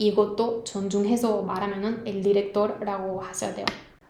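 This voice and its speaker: This woman's voice sits at a fairly high pitch. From northern Spain. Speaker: Spanish language teacher. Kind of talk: language lesson talk to camera.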